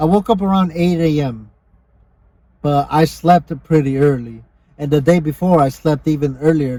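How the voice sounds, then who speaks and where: A man with a fairly high pitch speaks at a moderate pace in a dark, mellow, somewhat breathy tone with ordinary pitch variation. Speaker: podcast co-host. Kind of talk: casual chat.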